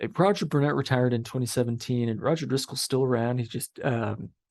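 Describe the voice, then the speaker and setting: Talking at a very fast pace, a man uses medium pitch and ordinary pitch variation. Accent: Midwestern US. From Kansas City area, Missouri then Kansas. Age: young. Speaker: lawyer. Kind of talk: interview. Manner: halting, repeats words.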